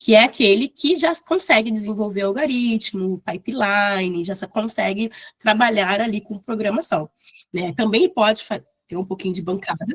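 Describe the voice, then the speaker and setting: Somewhat breathy, a woman speaks at a moderate pace. Her volume rises and falls sharply. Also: fairly high pitch for a woman, lively intonation, dry, close sound with no echo. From Brazil, Rio de Janeiro. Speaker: bioinformatics lecturer. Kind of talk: lecture.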